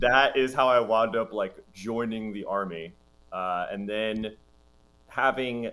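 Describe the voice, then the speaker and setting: The man's voice has a fairly low pitch. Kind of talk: interview answer. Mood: laughing, candid storytelling. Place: home room.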